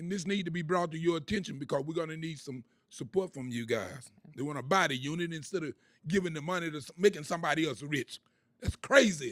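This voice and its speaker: This man speaks at a very fast pace in an animated tone. His pitch is fairly high, with ordinary variation. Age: 70s. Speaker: public housing resident speaking at public comment. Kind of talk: public comment at board meeting. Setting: public board meeting.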